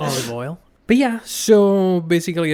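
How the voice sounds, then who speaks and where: A man speaks with an Italian accent at a fairly slow pace. His pitch varies in an ordinary way. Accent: Italian accent, noticeable. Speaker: podcaster and former comedy correspondent. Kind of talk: casual interview chat. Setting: podcast interview. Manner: halting, many fillers and restarts.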